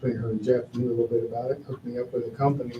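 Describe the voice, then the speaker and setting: Audible room echo surrounds a man's somewhat breathy, dark, mellow voice at a medium pitch. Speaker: town staff member. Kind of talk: council meeting report.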